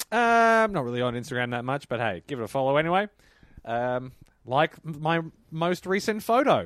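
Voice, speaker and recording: A man's fairly high voice in an Australian accent, with very wide pitch swings. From Melbourne, Australia. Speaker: comedian. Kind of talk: casual comedic chat. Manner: fast talker.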